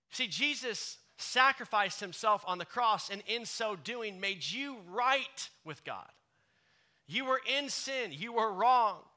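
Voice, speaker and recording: Raising and projecting his high-pitched voice, a man speaks at a very slow pace. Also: ordinary pitch variation. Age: 30s. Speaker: pastor. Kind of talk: contemporary church sermon, conversational and direct, addressing the congregation. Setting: church service with live congregation. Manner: warm, casual and earnest, with filler ums and uhs; emphatic, punchy repetition to drive points home.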